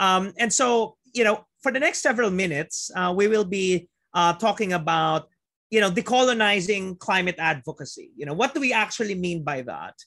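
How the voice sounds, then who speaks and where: Raised and projected, a man's high-pitched voice carries a bright, sharp tone, lively intonation and a Filipino accent at a moderate pace over a quiet background. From Philippines. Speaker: physician and planetary health researcher. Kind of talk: webinar lecture. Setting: video call. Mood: warm, grateful. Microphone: video call.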